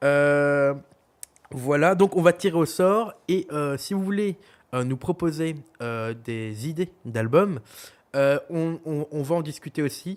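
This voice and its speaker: A man in a Belgian accent, fairly high in pitch with ordinary pitch variation, at a very slow pace broken by long, frequent pauses. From Belgium. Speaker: podcast co-host. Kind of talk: casual chat. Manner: hesitant, many fillers.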